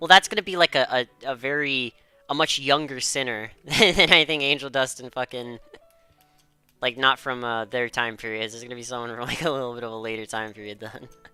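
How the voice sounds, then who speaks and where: A fairly quick pace of speech with music in the background. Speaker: streamer. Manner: casual, rambling.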